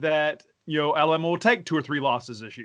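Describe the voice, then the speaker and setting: A man speaks at a fairly quick pace with a fairly high pitch, a normal speaking voice. The background is quiet. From US South. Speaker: sports podcast host. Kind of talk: casual chat.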